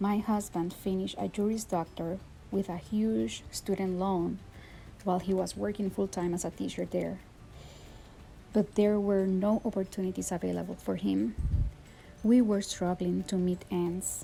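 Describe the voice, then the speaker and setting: In a Puerto Rican accent, a woman talks at a moderate pace, leaving long, frequent pauses. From Puerto Rico. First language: Spanish. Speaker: teacher. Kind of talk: personal testimony.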